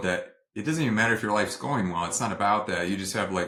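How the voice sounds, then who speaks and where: A man's fairly low-pitched voice comes across with a bright, sharp tone. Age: 30s. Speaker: nurse practitioner. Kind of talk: interview testimony. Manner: halting, many fillers.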